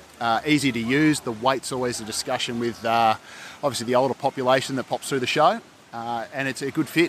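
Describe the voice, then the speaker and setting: With noticeable background noise behind him, a man of medium pitch talks very fast with fairly even intonation. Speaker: lawn equipment company rep.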